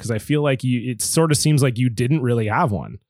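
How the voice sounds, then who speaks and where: A man's unremarkable speaking voice with a Canadian accent, medium in pitch and at a fairly quick pace, on a very clean recording with a silent background. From Canada, Southern Ontario and British Columbia. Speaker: podcast guest, musician. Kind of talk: casual chat.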